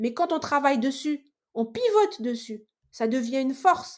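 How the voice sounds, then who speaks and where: On a very clean recording with a silent background, a woman speaks high-pitched with lively intonation. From Mediterranean region. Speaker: engineer, salesperson and entrepreneur. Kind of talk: podcast interview. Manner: loud, animated; hesitant with frequent repetitions.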